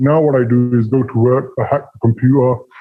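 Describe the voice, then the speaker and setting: Ordinary pitch variation shapes the speech of a man with a British accent. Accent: UK. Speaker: ex-scammer turned informant. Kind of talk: interview. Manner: casual, conversational.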